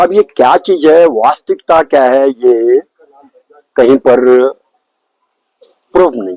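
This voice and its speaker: The tone is dark and mellow, with ordinary pitch variation and big swings in loudness. Long pauses come often, and the sound is dry and close with no echo. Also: man, fairly high pitch for a man. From Uttarakhand, Pithoragarh. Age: 70s. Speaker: village elder. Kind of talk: interview.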